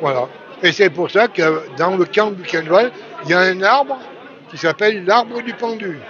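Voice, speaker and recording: Over crowd noise in the background, a man with a high pitch speaks at a fairly slow pace, with lively intonation, big swings in loudness and long, frequent pauses. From France, Chauffailles area (Burgundy). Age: 70s. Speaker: son of a resistance fighter. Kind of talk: testimony. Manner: halting.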